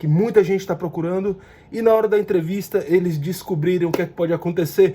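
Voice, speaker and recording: A man speaks with a high pitch, a dark, mellow tone and fairly even intonation. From Brazil. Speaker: YouTuber on US immigration. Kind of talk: informational vlog. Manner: casual, direct to viewer.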